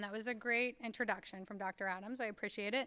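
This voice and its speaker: A woman talks at a very fast pace with a bright, sharp tone. The sound is dry and close, with no echo. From Kentucky, rural Appalachia. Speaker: author and education speaker. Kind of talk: lecture.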